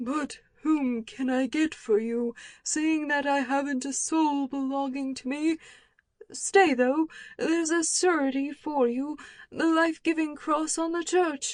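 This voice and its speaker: Taking on a put-on character voice, a woman speaks fairly slowly in a high pitch. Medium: read story.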